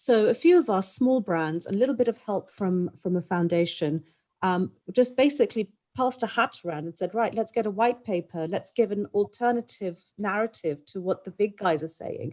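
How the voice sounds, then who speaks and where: The tone is dark and mellow, with lively intonation. Delivery moves at a moderate pace. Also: woman, medium pitch for a woman. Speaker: clothing brand executive, panelist. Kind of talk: panel discussion. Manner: frequent ums.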